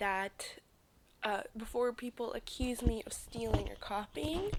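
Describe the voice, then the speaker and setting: A woman talks very slowly while noticeable background noise can be heard. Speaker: indie animation series creator. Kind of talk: casual Q&A talk to camera. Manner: hesitant, many pauses and fillers.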